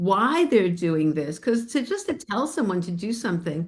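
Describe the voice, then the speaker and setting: Speaking at a moderate pace, a woman with an American accent sounds somewhat breathy, and her pitch swings very widely. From New York, Spring Valley area. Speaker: bone health educator and podcast host. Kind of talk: casual chat with live webinar audience.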